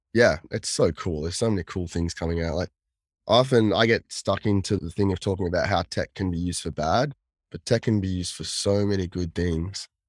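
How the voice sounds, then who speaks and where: Someone with an Australian accent speaks at a fairly quick pace with ordinary pitch variation. The recording is very clean and dry, close with no echo, over a silent background. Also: man, very deep, low pitch for a man. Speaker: cyber security consultant, former hacker. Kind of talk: casual interview chat.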